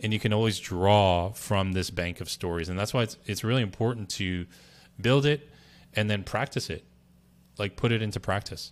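A plain, everyday voice speaks at a moderate pace in an American accent, with ordinary pitch variation. The recording is very clean, with a silent background. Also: man, fairly low pitch for a man. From US, Berkeley, California. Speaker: brand strategist. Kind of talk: interview.

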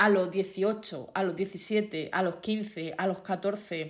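With an Andalusian accent, a woman is heard in a very clean recording over a silent background. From Andalusia, Spain. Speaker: podcast host. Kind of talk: motivational monologue. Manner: careful enunciation.

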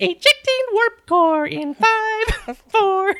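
An extremely high, put-on character voice. It moves at a very slow pace. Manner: tiny little voice.

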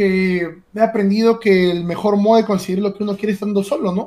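High male voice, medium tempo, normal pitch movement. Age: 20s. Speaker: streamer and esports analyst. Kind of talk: casual interview. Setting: live stream. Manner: hesitant, with many repeated words.

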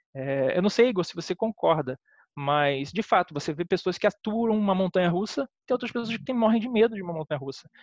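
In a dry, close recording with no echo, a man talks at a fairly quick pace in a high voice with lively intonation. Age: 30s. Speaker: film critic. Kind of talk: casual chat.

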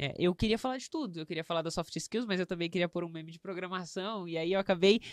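A woman with a plain, everyday voice speaks at a medium pitch and a fairly quick pace, on a very clean, dry and close recording with no echo and a silent background. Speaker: podcast host. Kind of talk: casual interview chat.

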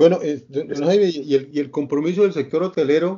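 In a normal speaking voice, a man talks at a fairly slow pace with a fairly high pitch. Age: 60s. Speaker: interview show host. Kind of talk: interview.

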